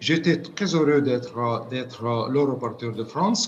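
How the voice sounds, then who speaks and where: The man talks at a fairly slow pace with ordinary pitch variation. The recording has audible room echo and noticeable background noise. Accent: non-native. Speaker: UN committee expert. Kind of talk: interview. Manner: halting, many repetitions.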